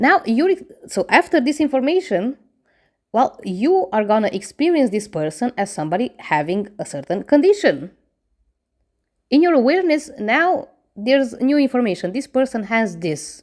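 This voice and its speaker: With a non-native accent, a woman speaks at a high pitch that swings very widely. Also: moderate pace. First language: not English. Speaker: manifestation coach. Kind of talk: casual advice monologue. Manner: conversational, addresses viewer directly.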